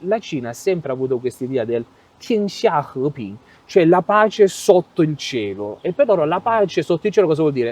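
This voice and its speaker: Fairly high-pitched male voice with very wide pitch swings, a moderate pace and a dry, close sound with no echo. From Europe. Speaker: European expat interviewee. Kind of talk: interview.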